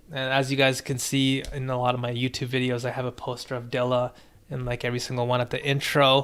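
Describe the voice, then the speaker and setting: A man at a fairly quick pace, relaxed in tone. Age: 30s. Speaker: music producer streamer reviewing beats. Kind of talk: live stream beat review and chat. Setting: live stream. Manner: casual, relaxed. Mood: reflective, warm storytelling. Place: home room.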